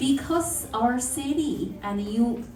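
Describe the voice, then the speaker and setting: With a non-native accent, a woman speaks very slowly at a fairly high pitch with lively intonation, amid noticeable background noise and audible room echo. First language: not English. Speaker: city councillor. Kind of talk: speech at community workshop.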